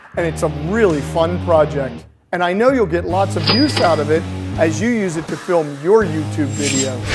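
A man at a moderate pace with clear music in the background. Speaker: maker show host. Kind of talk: tutorial. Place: workshop. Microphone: lapel.

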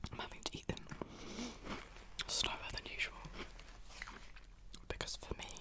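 A woman whispers at a fairly quick pace. She is soft-spoken. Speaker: vlogger. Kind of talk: casual vlog chat. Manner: soft ASMR whisper. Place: home room. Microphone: studio mic.

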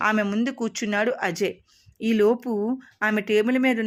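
Read aloud in a natural voice, the words move with fairly even intonation.

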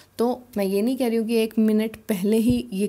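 Recorded very cleanly against a silent background, a woman speaks at a moderate pace in a fairly high pitch with a dark, mellow tone. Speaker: language teacher. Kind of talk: tutorial.

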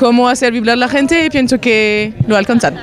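A woman speaks with ordinary pitch variation in a dry sound with no echo, over light background noise. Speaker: audience member. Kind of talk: interview answer. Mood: relaxed, appreciative. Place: street. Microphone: handheld.

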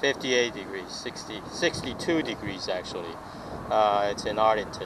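A man at a very slow pace with ordinary pitch variation, a dry sound with no echo and noticeable background noise. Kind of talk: casual vlog chat. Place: waterside. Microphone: phone near.

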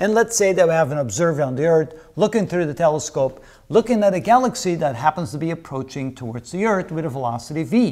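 Over a quiet background, the voice races at a very fast pace with very wide pitch swings. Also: man. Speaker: physics lecturer. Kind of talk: lecture. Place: studio. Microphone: lapel.

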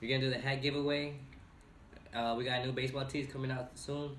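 A fairly quick talker comes through over noticeable background noise. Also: man. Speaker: clothing brand owner. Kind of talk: casual talk to camera.

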